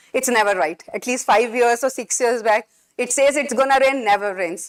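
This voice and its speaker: A woman speaks loudly at a moderate pace. The sound is dry and close with no echo. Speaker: physics lecturer. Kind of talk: lecture. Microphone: speaking without mic, too loud with it.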